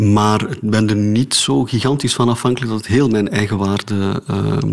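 Over noticeable background noise, a man with a fairly low voice speaks at a moderate pace. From Flanders, Oudenaarde. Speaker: philosopher and theatre maker. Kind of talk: radio interview. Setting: home studio, remote.

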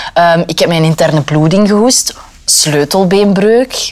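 A woman speaks in a Flemish accent at a fairly low pitch. Her pitch varies in an ordinary way over noticeable background noise. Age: 20s. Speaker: radio reporter. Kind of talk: casual chat.

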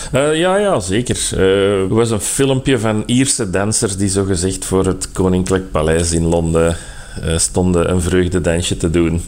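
With audible room echo and noticeable background noise, a man speaks at a moderate pace in a very deep, low voice, his loudness very even and his pitch varying in an ordinary way. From Flanders. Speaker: fact-checker. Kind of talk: phone interview.

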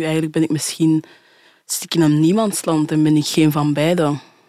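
A woman speaks at a very deep, low pitch with a dark, mellow tone and monotone, flat intonation. Her pace is moderate, and the sound is dry and close with no echo. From Belgium (adopted from Haiti at two). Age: 20s. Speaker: adoptee. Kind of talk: casual interview conversation.

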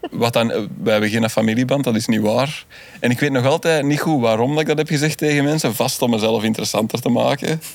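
Over noticeable background noise, a man of medium pitch speaks at a very fast pace, his loudness very even and his pitch varying in an ordinary way. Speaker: comedy TV writer. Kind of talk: casual chat.

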